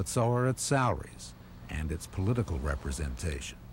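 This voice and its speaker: With vocal fry and a very deep, low pitch, a man makes very wide pitch swings at a fairly quick pace. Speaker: documentary narrator. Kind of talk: documentary narration.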